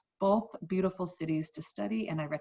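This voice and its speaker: With an American accent, a woman talks at a moderate pace in a somewhat breathy voice with lively intonation. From US Midwest, St. Louis, Missouri. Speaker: high school Spanish teacher. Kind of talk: course introduction video for parents and students. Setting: screen-share presentation recording.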